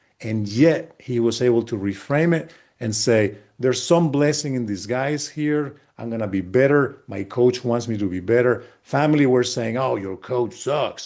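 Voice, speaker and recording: Against a quiet background, a man talks in an ordinary speaking voice at medium pitch, with ordinary pitch variation and a moderate pace. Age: 60s. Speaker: sport psychologist. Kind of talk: casual chat.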